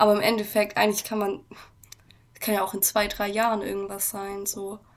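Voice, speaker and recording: The voice belongs to a woman, pitched at a medium level. Her intonation stays monotone and flat. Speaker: podcast co-host. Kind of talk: casual chat. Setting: at home. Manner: frequent laughing.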